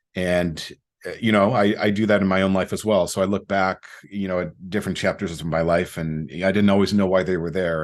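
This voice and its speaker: Fairly quick speech with fairly even intonation over a quiet background. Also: man, very deep, low pitch for a man. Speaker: podcast host and coach. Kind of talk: reflective monologue. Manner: halting, many fillers and repetitions.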